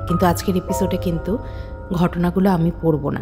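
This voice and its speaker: A woman's very deep, low voice with music playing behind it. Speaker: podcast host. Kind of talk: horror podcast introduction.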